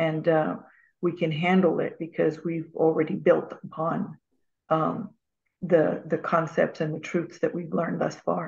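At a fairly slow pace, a woman talks with fairly even intonation, vocal fry and a fairly low pitch. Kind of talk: reading aloud. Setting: video call. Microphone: video call.

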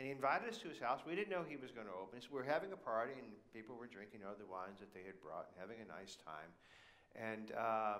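A man is speaking here. His pace is fairly quick. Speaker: preacher. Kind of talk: sermon. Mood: humorous, relaxed anecdote. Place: church.

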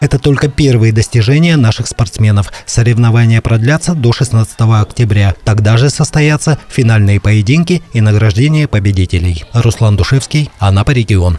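The voice has a dark, mellow tone and sounds somewhat breathy. It runs with hardly any pauses, very even loudness and ordinary pitch variation. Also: man, medium pitch for a man, moderate pace. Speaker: news reporter. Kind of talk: news report narration.

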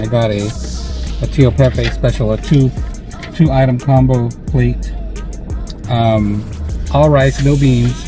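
Clear music plays in the background as a man talks at a fairly slow pace. His long, frequent pauses come through a dry sound with no echo. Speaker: food vlogger. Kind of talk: casual vlog chat. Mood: upbeat, relaxed. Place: car. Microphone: phone near.

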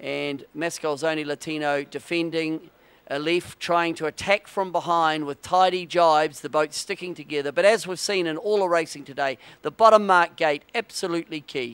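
In a normal speaking voice, a man with fairly high pitch talks at a moderate pace with ordinary pitch variation, in a very clean recording with a silent background and a dry, close sound with no echo. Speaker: sailing race commentator. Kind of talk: live sports commentary on a sailing race, brisk play-by-play narration. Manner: clipped, authoritative, technical.

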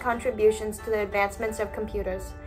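A woman's voice over clear music in the background. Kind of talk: school presentation. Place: home room. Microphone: webcam.

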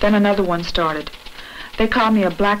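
Over noticeable background noise, a woman with a Southern US accent speaks at a very fast pace in a monotone, flat intonation. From US South. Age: 20s. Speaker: civil rights organizer. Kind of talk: testimony.

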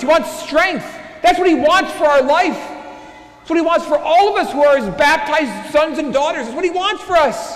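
With audible room echo, a man of extremely high pitch speaks at a moderate pace with ordinary pitch variation and hardly any pauses. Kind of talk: Sunday homily preached at Mass, building to an urgent warning. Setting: church during Mass. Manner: impassioned, repeating phrases as he presses a point; conversational asides mixed with rhetorical questions. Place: church. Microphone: lapel.

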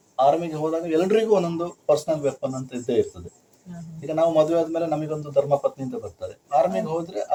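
A plain, everyday voice from a man, fairly high in pitch, with ordinary pitch variation. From Kodagu, Karnataka. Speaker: army veteran. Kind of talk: interview.

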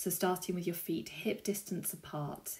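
At a fairly slow pace, a woman speaks in a fairly low, somewhat breathy voice with a dark, mellow tone and fairly even intonation. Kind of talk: tutorial. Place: home room. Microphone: camera far.

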